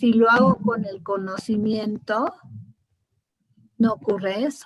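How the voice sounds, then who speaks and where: At a very slow pace, a woman speaks at a fairly high pitch with fairly even intonation. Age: 70s. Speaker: spiritual course teacher. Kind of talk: class discussion.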